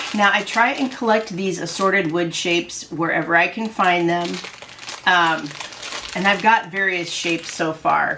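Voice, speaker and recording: Noticeable background noise accompanies a woman speaking in a fairly low pitch with ordinary pitch variation. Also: moderate pace. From Iowa. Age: 60s. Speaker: haul video creator. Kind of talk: casual haul vlog. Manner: chatty, hesitant with fillers.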